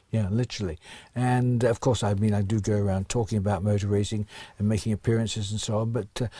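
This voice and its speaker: Very fast and monotone, a man with a fairly low pitch speaks in a dark, mellow, somewhat breathy tone at very even loudness, with a dry, close sound and no echo. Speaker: retired racing driver. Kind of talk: interview answer.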